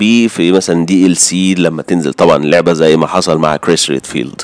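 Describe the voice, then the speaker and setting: A man with an Egyptian accent at a moderate pace. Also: dry, close sound with no echo. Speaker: gaming YouTuber. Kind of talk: gaming news video. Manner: casual.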